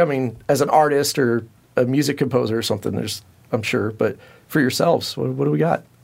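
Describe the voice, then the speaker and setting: With an American accent, a man speaks at a fairly quick pace in a normal speaking voice, with ordinary pitch variation. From California Central Valley. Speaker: podcast host. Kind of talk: casual interview.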